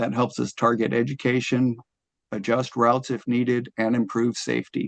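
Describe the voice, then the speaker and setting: A man speaks with monotone, flat intonation. The sound is dry and close, with no echo. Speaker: city solid waste staff presenter. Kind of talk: committee presentation and Q&A. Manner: fast.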